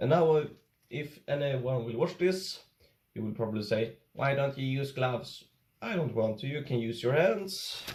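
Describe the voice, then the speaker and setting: This man's pitch sits fairly high, with lively intonation. He talks with a Swedish accent. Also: moderate pace. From Sweden. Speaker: YouTuber, angler. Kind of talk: casual tutorial vlog.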